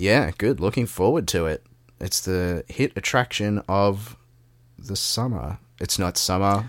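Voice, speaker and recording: Fairly low male voice with an Australian accent, a fairly slow pace and ordinary pitch variation, in a dry, close sound with no echo. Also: very clean recording, silent background. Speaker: podcast co-host. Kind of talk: casual political discussion.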